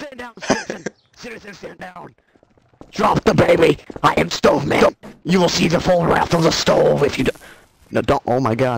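Using a put-on character voice, a man speaks in a high pitch at a moderate pace with long, frequent pauses. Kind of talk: comic overacting. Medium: machinima. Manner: pompous, commanding.

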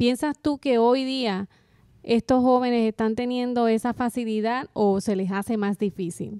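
A woman's fairly high, dark, mellow voice, fairly even in intonation and fairly slow, with a dry sound with no echo over a quiet background. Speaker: podcast co-host. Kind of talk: interview. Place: studio. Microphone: studio mic.

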